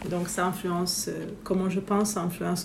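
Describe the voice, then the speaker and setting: Background noise is noticeable, along with audible room echo. The speaker is a woman. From Romania. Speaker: spiritual business coach. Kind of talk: casual interview.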